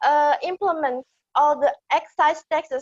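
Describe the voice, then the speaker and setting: A woman's high voice with an Indonesian accent, very slow in pace with ordinary pitch variation, dry and close with no echo. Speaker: audience member asking a question. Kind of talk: audience question. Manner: hesitant, many fillers.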